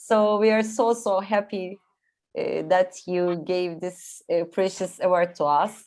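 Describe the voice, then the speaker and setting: A woman speaks very slowly with a non-native accent. Her medium pitch stays fairly even, and the recording is very clean with a silent background. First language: not English. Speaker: film producer and writer. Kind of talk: award acceptance speech. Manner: halting, hesitant.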